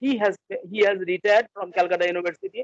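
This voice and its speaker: A man with a high pitch talks at a very fast pace in a dry, close sound with no echo. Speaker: academic, education researcher. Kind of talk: interview. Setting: video call. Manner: halting.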